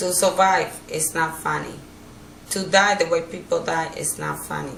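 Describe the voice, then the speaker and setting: Through noticeable background noise and audible room echo, a woman speaks with a Dominican accent. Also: moderate pace. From Dominican Republic. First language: Spanish. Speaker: hurricane survivor. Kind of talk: interview. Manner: halting.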